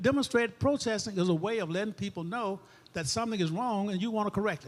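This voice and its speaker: A man talks with a Southern US accent. He moves at a fairly quick pace with ordinary pitch variation. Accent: Southern US (Georgia). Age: 80s+. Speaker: civil rights veteran. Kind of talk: panel discussion. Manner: halting, repeats words.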